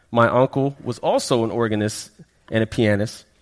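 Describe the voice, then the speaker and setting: The pace of this man's speech is moderate. He talks with an American accent. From Florida, raised from childhood; early years in Brooklyn, West Indian parents. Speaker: pastor. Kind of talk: sermon.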